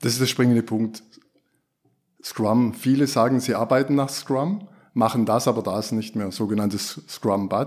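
A man with a medium-pitched voice speaks at a fairly slow pace with ordinary pitch variation, leaving long, frequent pauses, in a very clean recording with a silent background. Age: 50s. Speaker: former classic project manager, agile practitioner. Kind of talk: podcast interview. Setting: studio. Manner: hesitant with fillers.

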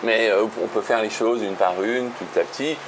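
A man talks at a moderate pace in a medium pitch. Noticeable background noise sits behind him. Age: 50s. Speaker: real estate investor and financial education author. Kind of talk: casual interview.

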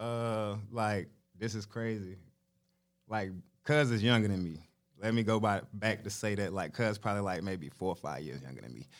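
A man with a fairly low pitch and ordinary pitch variation speaks with long, frequent pauses and big swings in loudness. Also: moderate pace. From Charlotte, North Carolina. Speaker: rapper. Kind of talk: casual interview.

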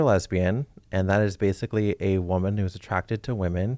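On a very clean recording with a silent background, the speech moves at a moderate pace. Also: man. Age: 30s. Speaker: program graduate and intern. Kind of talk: casual explanatory chat. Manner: halting, many fillers.

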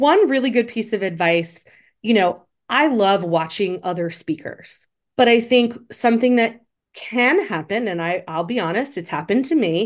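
Against a quiet background, a woman with a fairly high pitch and a normal speaking voice talks at a moderate pace with lively intonation. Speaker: attorney and speaking coach. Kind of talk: casual interview conversation. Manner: conversational, laughs often.

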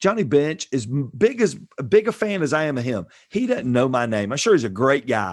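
An animated man with a Southern US accent, fairly quick, with very wide pitch swings against a quiet background. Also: medium pitch for a man. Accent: Southern US (Georgia). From US South, Georgia. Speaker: pastor. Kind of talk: casual interview.

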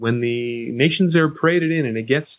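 A man with a Canadian accent, a normal speaking voice, lively intonation and a moderate pace. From Canada. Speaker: sports sociology professor. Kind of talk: interview.

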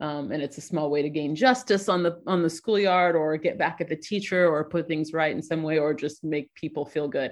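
A woman's very deep, low voice at a fairly quick pace, with hardly any pauses, ordinary pitch variation and a quiet background. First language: not English. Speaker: interview guest. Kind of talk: casual interview. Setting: remote call. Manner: halting.

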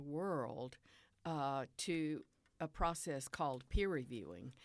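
A woman with a Southern US accent speaks very slowly with lively intonation. The recording is very clean, with a silent background. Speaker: retired professor and poet. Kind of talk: interview with poetry readings.

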